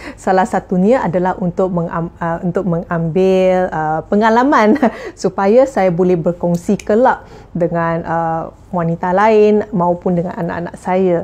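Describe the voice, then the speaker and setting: A woman speaks fairly slowly at a medium pitch, her pitch varying in an ordinary way. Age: 40s. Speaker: jamu herbal practitioner. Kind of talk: tips sharing to camera. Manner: halting, many fillers. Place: home room.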